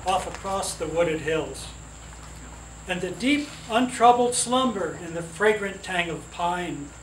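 Light background noise and audible room echo surround a man talking at a fairly slow pace. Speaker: relative reading poetry at a gathering. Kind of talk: poetry reading. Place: garden. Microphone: camera far.

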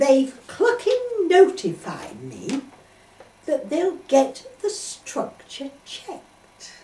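At a very slow pace, a woman with an extremely high pitch shows very wide pitch swings and big swings in loudness, with light background noise and audible room echo. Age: 80s+. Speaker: poet. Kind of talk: comic poetry reading. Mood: indignant comic complaint. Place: home room. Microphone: camera far.

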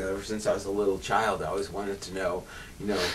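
A man's voice over light background noise. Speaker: show host. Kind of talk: interview conversation.

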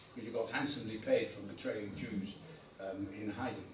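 A man speaks at a fairly quick pace with fairly even intonation. Light background noise and audible room echo come through. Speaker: Holocaust survivor giving a talk. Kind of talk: talk to an audience telling personal story. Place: classroom. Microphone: camera far.

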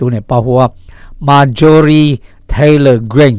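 A northern Vietnamese accent with fairly even intonation, in a dry, close sound with no echo. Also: man. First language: Hmong (speaking Vietnamese). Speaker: radio news host. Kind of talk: news reading.

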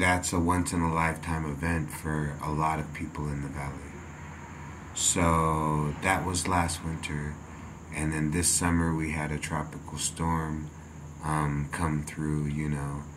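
Monotone, flat intonation over noticeable background noise. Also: man, very deep, low pitch for a man. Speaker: vlogger. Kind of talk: casual vlog chat, reflective. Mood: calm, reflective. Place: home room.

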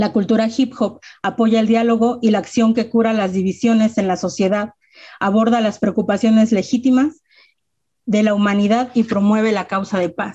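Over a quiet background, the voice sounds somewhat breathy, with a dark, mellow tone and monotone, flat intonation. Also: woman, fairly high pitch for a woman, moderate pace. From Mexico, Mexico City area (Ecatepec); Mexico City, Mexico. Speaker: rapper and self-defense instructor; panelist. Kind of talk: presentation with slides. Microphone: video call.

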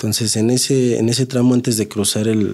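Dark, mellow tone from a man with a Mexico City accent, moderate pace, fairly even intonation, and a quiet background. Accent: Mexico City Spanish (chilango). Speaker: taxi driver; guest. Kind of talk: casual storytelling. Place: studio. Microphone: studio mic.

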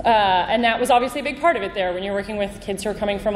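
A woman with a Canadian accent, audible room echo and noticeable background noise. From Canada, Vancouver. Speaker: conference speaker, team builder. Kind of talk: conference talk.

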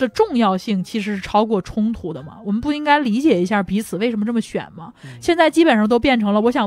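Her pitch fairly high, a woman races along at a very fast pace with very wide pitch swings. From northern China, Langfang (Hebei). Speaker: debater. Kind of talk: casual chat. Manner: hesitant, many filler sounds.

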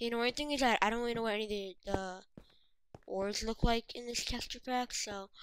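Fairly quick and fairly even in intonation, a woman talks in an ordinary speaking voice at a fairly high pitch. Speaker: gaming video creator. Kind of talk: gameplay commentary.

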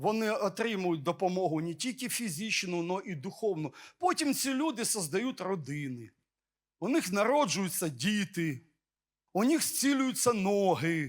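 A man talks at a fairly slow pace with a high pitch. His pitch swings very widely. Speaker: pastor. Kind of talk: sermon.

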